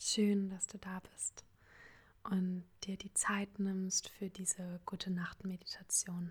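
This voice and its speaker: A woman speaks at a very slow pace in a medium pitch. Her intonation is flat and monotone, and her voice is somewhat breathy. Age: 20s. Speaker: podcast host and psychology student. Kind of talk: guided meditation. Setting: home recording. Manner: soft-spoken.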